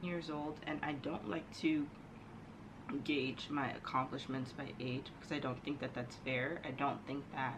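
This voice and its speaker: Fairly slow speech with an American accent, audible room echo and noticeable background noise. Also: woman, very deep, low pitch for a woman, fairly even intonation. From New York. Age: 20s. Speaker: vlogger. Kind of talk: casual personal monologue to camera.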